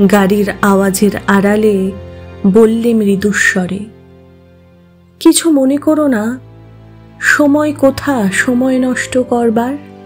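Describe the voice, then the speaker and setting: A woman talks at a fairly high pitch while music plays in the background. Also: ordinary pitch variation. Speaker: poetry reciter. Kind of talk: poetry reading.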